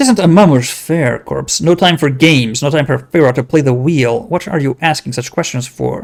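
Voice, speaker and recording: Putting on a character voice, a man mumbles at a moderate pace in a raspy, fairly high pitch with ordinary pitch variation. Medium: game stream. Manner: mumbling, sly, broken phrases.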